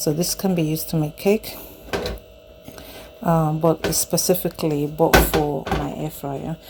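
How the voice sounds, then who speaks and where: A woman speaks softly at a fairly slow pace. Noticeable background noise runs underneath. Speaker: home cooking vlogger. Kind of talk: casual product demonstration. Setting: home kitchen, handheld camera. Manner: soft-spoken.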